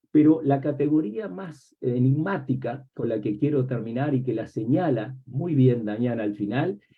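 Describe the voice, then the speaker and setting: A man at medium pitch and a fairly slow pace, with ordinary pitch variation and hardly any pauses. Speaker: academic book presenter, semiotics professor. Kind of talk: academic book presentation talk. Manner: reflective, with many rhetorical questions.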